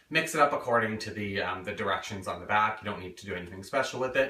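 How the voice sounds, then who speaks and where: In audible room echo, a man with a fairly low pitch talks at a fairly quick pace with ordinary pitch variation. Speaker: home cook. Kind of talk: cooking tutorial. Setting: home kitchen. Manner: fast; casual, lots of fillers. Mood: relaxed, joking. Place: kitchen. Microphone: camera far.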